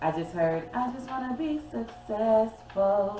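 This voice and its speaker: A woman's medium-pitched voice at a very slow pace, with very wide pitch swings, audible room echo and music in the background. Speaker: tarot reader. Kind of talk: tarot reading.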